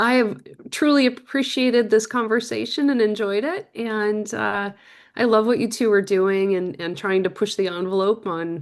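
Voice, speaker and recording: A woman speaks at a moderate pace with ordinary pitch variation, in an unremarkable speaking voice. The background is quiet. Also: fairly high pitch for a woman. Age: 50s. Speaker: former military intelligence officer. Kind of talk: interview.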